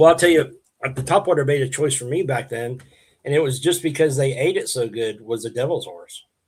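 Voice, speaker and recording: A man speaks fairly quickly in a fairly high, somewhat breathy voice. His pitch varies in an ordinary way while his loudness swings widely. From Oklahoma, around Piedmont. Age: 60s. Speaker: bass angler and bait maker. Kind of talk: casual interview chat. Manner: halting, many fillers and restarts.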